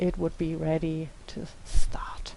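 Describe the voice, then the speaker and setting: A woman speaks with a non-native accent. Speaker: teacher. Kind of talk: tutorial. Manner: hesitant, many filler sounds.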